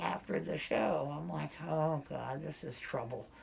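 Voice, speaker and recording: Over noticeable background noise, a woman with a very deep, low pitch talks at a fairly slow pace, her pitch swinging very widely. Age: 60s. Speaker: interviewee with hearing loss. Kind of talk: casual interview.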